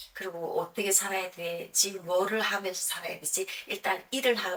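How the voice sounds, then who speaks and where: A woman talks with a strong North Korean accent at a medium pitch. She keeps a moderate pace over noticeable background noise. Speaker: YouTuber, North Korean defector singer. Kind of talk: personal storytelling vlog. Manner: conversational, with many self-corrections.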